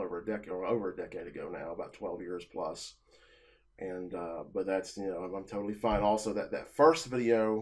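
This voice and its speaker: A man talks fairly quickly, his pitch fairly low. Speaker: self-employed vlogger. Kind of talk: personal monologue to camera. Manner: fast; halting, many filler words.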